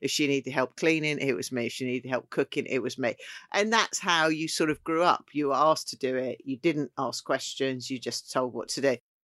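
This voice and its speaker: In a southeast English accent, a woman speaks fairly quickly with a very deep, low pitch, the sound dry and close with no echo. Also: ordinary pitch variation. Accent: south-east English. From Kent, south-east England. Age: 50s. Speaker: chef. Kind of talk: casual chat.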